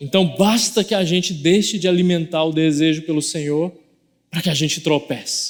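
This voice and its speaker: Ordinary pitch variation runs through speech delivered at a moderate tempo. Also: man. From Goiás, Brazil. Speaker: pastor. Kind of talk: sermon. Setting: church.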